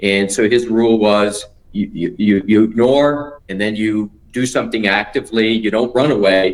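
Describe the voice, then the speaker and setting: A man talks in a normal speaking voice. His pitch is fairly low and his intonation fairly even. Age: 60s. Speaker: attorney. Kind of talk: interview answer.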